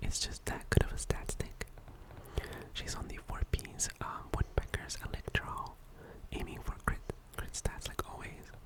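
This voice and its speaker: The words are whispered at a moderate pace. Behind them, background noise is noticeable. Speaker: ASMR content creator and gacha gamer. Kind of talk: ASMR gaming account tour, whispered commentary. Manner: whispered, soft-spoken.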